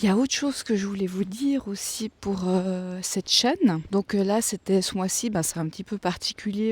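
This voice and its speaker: Soft-spoken at a moderate pace, the voice has ordinary pitch variation and hardly any pauses, in a dry, close sound with no echo. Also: woman. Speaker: vlogger. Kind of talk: vlog. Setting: outdoors, walking in a forest. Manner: hesitant, many fillers. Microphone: mic close in front.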